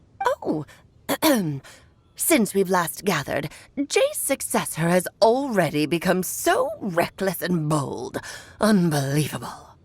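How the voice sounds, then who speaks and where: A woman puts on a character voice at a medium pitch, leaving long, frequent pauses. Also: fairly slow pace. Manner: haughty, scolding.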